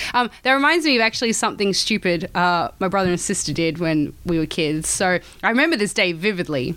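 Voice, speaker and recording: An unremarkable speaking voice belongs to a woman of medium pitch who talks at a fairly quick pace with hardly any pauses. Her intonation is lively, her loudness very even, and the recording very clean with a silent background. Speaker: podcast co-host. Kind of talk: casual chat.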